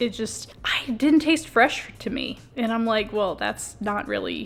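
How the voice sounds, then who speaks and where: Against music in the background, a woman talks with a fairly high pitch. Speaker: travel vlogger, hotel reviewer. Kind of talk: casual vlog narration. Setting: hotel room.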